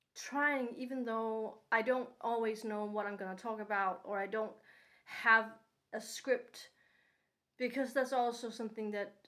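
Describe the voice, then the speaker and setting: Speaking with a non-native accent, a woman holds a fairly high pitch with monotone, flat intonation. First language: not English. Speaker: vlogger. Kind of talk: unscripted personal monologue. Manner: unscripted with pauses; hesitant with fillers.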